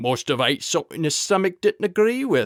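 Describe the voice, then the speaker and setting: A man puts on a gruff character voice, high-pitched with very wide pitch swings, at a moderate pace. The sound is dry and close, with no echo. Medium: read story. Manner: gruff, contemptuous.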